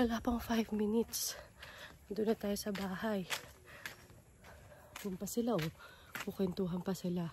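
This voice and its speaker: Long, frequent pauses break up a woman's moderate-paced speech. Her medium-pitched voice is dark and mellow. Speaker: travel vlogger. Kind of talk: vlog house tour. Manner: casual, animated. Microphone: voice quiet at times, then loud.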